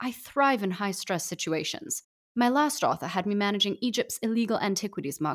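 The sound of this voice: The clip has an unforced reading voice against a quiet background.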